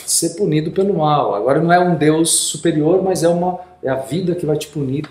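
Noticeable background noise accompanies a man whose voice sits high in pitch as he talks at a moderate pace. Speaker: podcast host. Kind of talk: casual interview.

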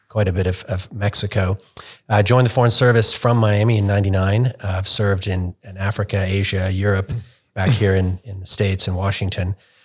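In a very clean recording with a silent background, a man with a fairly low pitch speaks at a fairly quick pace, somewhat breathy and in a monotone, flat intonation. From London, England. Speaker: think tank researcher, former lawyer. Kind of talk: interview podcast.

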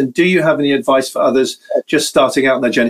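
With a British accent, a man speaks at a fairly high pitch. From Britain. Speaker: webinar host. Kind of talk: live webinar interview.

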